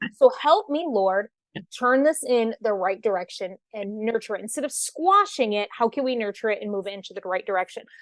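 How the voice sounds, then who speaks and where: A woman with an American accent talks at a fairly quick pace and a fairly high pitch, her tone animated and her intonation lively. Her loudness swings widely, and the sound is dry and close with no echo against a quiet background. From Michigan. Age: 30s. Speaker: radio host and author. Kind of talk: interview. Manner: fast.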